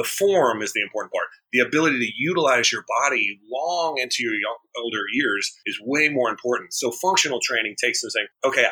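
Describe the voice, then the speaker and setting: The man talks at a fairly quick pace. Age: 30s. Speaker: personal trainer and gym owner. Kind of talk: interview.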